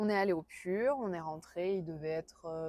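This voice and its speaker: Ordinary pitch variation at a moderate pace. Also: woman. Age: 20s. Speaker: interviewee recounting personal experience. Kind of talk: interview testimony. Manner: halting, many hesitations.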